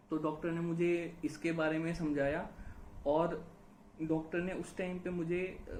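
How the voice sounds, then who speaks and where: The voice is delivered in a flat monotone, with audible echo in the room. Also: man, high pitch for a man. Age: 30s. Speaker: YouTuber sharing hair loss experience. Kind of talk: casual conversation. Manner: hesitant, many fillers.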